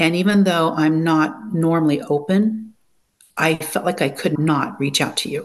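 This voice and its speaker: Here is a woman with an ordinary speaking voice, pitched fairly low. She keeps a moderate pace and ordinary pitch variation. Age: 60s. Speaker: coaching program student. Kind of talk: interview.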